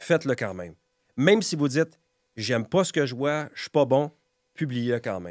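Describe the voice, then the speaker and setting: On a very clean recording with a silent background, a man speaks at a medium pitch with an animated tone, very wide pitch swings and big swings in loudness. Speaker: real estate broker and content creator. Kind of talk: podcast interview. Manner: fast.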